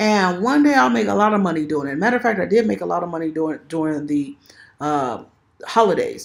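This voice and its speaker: A woman talks at a fairly quick pace with a fairly low pitch and very wide pitch swings. The recording is very clean, with a silent background. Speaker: self-published author and video creator. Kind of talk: tutorial. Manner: fast; casual, conversational.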